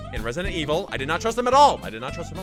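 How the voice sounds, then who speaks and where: Music plays in the background as a man speaks. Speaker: video editing tutorial host. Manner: casual, repetitive, humorous.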